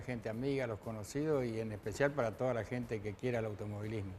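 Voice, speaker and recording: Speaking at a very fast pace, a man with a medium-pitched voice keeps his intonation fairly even. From Argentina, Chaco province (Machagay). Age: 60s. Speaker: retired racing driver. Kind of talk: TV interview. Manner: hesitant, many fillers.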